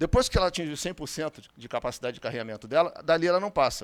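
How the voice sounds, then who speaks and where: A high-pitched man at a very fast pace, on a very clean recording with a silent background. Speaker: physician lecturer. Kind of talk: conference lecture.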